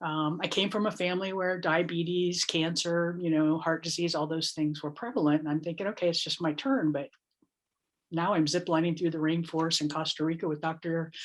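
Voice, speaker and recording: A woman's fairly low voice, a plain, everyday voice, fairly quick with fairly even intonation, over a quiet background. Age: 60s. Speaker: health program facilitator. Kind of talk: interview testimony.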